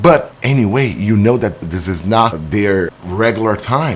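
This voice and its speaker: Lively intonation in a Brazilian accent at a fairly slow pace. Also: man. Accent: non-native English, Brazilian. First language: Portuguese. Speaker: business owner. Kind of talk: explainer monologue. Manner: halting.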